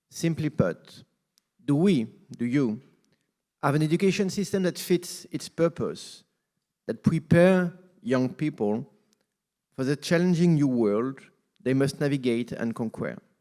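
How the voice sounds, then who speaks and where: A man with a French accent and a fairly high pitch, dark and mellow in tone, with lively intonation, a fairly slow pace and long, frequent pauses, on a very clean recording with a silent background. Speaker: UN agency representative. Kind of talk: formal speech.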